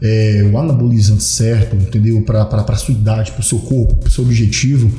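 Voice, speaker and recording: Against noticeable background noise, a man talks at a fairly quick pace and a medium pitch. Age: 30s. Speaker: personal trainer. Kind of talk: casual chat. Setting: studio.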